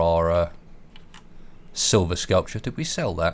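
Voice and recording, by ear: The man's intonation is fairly even, and his pace is moderate.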